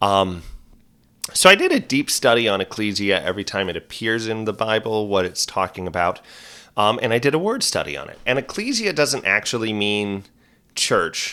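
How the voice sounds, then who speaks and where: On a very clean recording with a silent background, a man speaks at medium pitch and a moderate pace, his tone relaxed yet bright and sharp, with ordinary pitch variation. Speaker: podcast host. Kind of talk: casual solo podcast monologue. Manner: conversational, relaxed.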